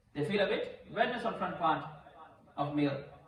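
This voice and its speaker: With noticeable background noise and audible room echo, a man talks at a moderate pace, his pitch swinging very widely. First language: Urdu or Punjabi. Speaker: imam teaching Islamic rulings. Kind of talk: religious lecture. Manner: halting, repetitive non-native English.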